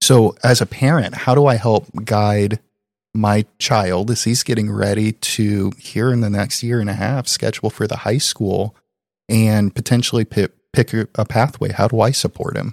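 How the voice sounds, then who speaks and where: Recorded very cleanly against a silent background, a man with a Midwestern American accent speaks at a fairly low pitch with fairly even intonation. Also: moderate pace, dry, close sound with no echo. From Indiana. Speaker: school district technology officer, podcast co-host. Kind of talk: casual chat.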